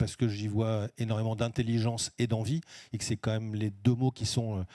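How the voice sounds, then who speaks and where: The recording is very clean with a silent background and a dry, close sound with no echo, carrying a dark, mellow tone at a moderate pace. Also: man. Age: 60s. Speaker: business executive. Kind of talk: stage talk at award event. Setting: stage with audience.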